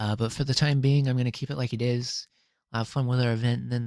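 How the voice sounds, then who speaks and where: A man's medium-pitched voice at a fairly quick pace, with fairly even intonation and a very clean recording over a silent background. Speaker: game streamer. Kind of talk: live stream talk to viewers. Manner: fast; halting.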